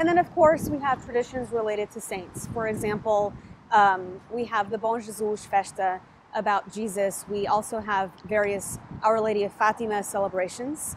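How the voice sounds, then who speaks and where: Amid light background noise, a woman talks at a moderate pace with ordinary pitch variation in a dry sound with no echo. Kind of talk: interview answer. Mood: warm, engaged. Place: garden. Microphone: lapel.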